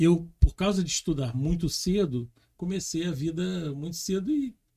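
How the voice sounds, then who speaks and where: A man's high voice, dark and mellow in tone, with lively intonation. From Brazil, Rio de Janeiro. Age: 60s. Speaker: former air force pilot sharing near-death experience. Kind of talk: podcast interview testimony.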